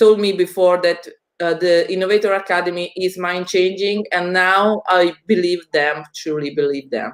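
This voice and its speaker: Moderate pace and fairly even intonation in an Italian accent. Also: woman. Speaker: education community host. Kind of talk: video call interview.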